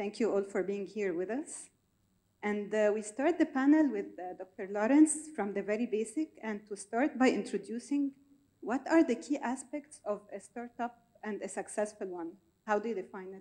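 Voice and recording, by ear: A woman's dark, mellow, medium-pitched voice with lively intonation. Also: moderate pace.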